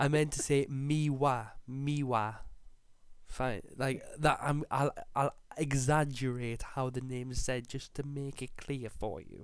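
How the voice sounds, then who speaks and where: A man speaks with a strong northeast English accent at a medium pitch. His pace is very slow and his intonation monotone and flat. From northeast England. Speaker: podcast co-host. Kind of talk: casual chat.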